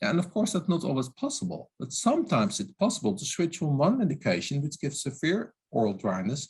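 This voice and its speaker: With hardly any pauses, a man speaks in a fairly high pitch, his voice swinging very widely in pitch and showing vocal fry. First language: not English. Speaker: oral health expert. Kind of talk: webinar lecture. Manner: halting.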